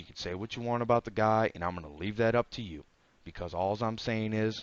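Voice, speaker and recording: At a very fast pace, a man with a fairly low pitch and ordinary pitch variation speaks in an animated tone, the sound dry and close with no echo. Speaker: podcast host. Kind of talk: casual podcast chat.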